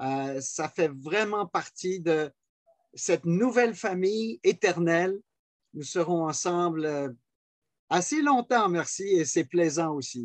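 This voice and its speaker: Over a quiet background, a man with high pitch and lively intonation speaks at a very slow pace with long, frequent pauses. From Switzerland. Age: 70s. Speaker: pastor. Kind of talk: personal testimony.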